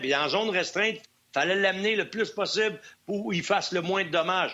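A man with a Quebec accent talks at a very fast pace. His voice is high in pitch, with ordinary pitch variation. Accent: Québécois French. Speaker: former hockey player, hockey analyst. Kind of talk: casual chat.

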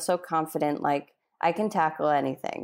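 At a moderate pace and with fairly even intonation, a woman with an unremarkable speaking voice is heard on a very clean recording with a silent background. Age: 30s. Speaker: migraine patient and writer. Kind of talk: interview.

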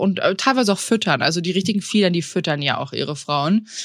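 A woman talks at a fairly quick pace with an unremarkable speaking voice. Her intonation is lively. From Bavaria, Tegernsee area. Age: 30s. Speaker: podcast co-host. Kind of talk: casual chat.

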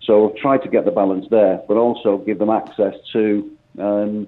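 A man's fairly low voice at a fairly slow pace, fairly even in intonation, a normal speaking voice. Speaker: football manager. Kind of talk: radio interview. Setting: phone call.

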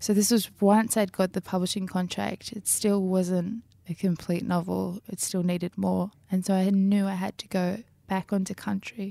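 In an Australian accent, a woman with a medium pitch and a dark, mellow tone speaks in a monotone, flat way at a moderate pace, recorded dry and close with no echo on a very clean recording with a silent background. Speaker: novelist. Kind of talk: interview.

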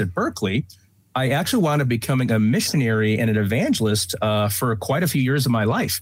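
A man's very fast, somewhat breathy delivery with lively intonation. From US, immigrant from Taiwan as a child. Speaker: leadership trainer. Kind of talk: interview.

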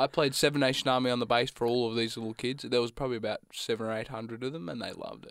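A man with an Australian accent talks at a very fast pace with hardly any pauses, fairly even intonation and big swings in loudness. The sound is dry and close, with no echo. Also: medium pitch for a man, very clean recording, silent background. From Australia, Gippsland, Victoria. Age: 20s. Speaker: student radio co-host. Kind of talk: casual chat. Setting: studio.

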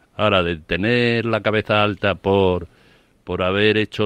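In an unremarkable speaking voice, a man talks at a moderate pace with fairly even intonation, the sound dry and close with no echo. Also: quiet background. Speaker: sports radio pundit. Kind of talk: radio panel debate. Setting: radio studio.

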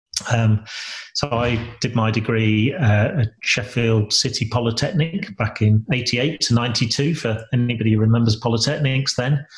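Somewhat breathy, a man speaks at a moderate pace and medium pitch, with ordinary pitch variation and very even loudness. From Lincolnshire, England. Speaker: entrepreneur and business mentor. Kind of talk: interview. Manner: halting, with frequent repetitions.

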